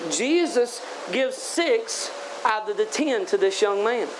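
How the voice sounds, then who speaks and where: With noticeable background noise behind him, a man talks with lively intonation. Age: 30s. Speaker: evangelist preacher. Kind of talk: sermon. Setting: tent revival meeting. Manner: animated.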